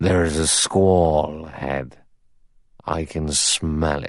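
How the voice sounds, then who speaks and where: Someone uses a put-on character voice at a very slow pace with monotone, flat intonation. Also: man, very deep, low pitch for a man. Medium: read story. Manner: solemn, gloomy.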